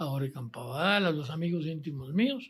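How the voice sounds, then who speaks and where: A man with lively intonation at a moderate pace, in a very clean recording with a silent background. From Costa Rica (San José). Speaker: former politician. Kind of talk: interview. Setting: office.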